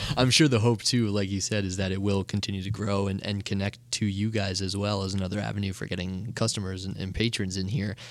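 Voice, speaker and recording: Over music in the background, a man with a fairly low voice talks very fast in a flat monotone, with hardly any pauses. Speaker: podcast host. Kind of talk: interview conversation.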